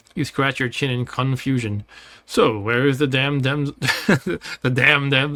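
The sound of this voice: Intonation stays fairly even across an unforced reading voice.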